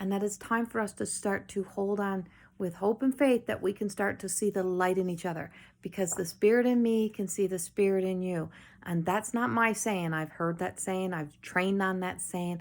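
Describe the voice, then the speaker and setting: With a Newfoundland accent, the speech goes at a moderate pace with ordinary pitch variation on a very clean recording with a silent background. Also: woman, medium pitch for a woman. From Newfoundland, Canada. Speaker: spiritual medium and life coach. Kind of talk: channeled spiritual message. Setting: home, late night video.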